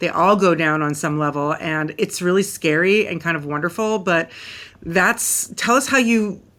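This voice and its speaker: A woman's fairly low-pitched, bright and sharp voice, animated in tone, at a moderate pace with ordinary pitch variation. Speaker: podcast host. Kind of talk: podcast interview.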